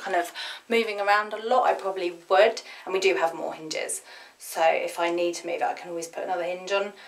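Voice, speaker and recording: At a very fast pace, a woman speaks with fairly even intonation. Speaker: home vlogger. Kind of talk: casual vlog chat. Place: garden. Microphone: phone near.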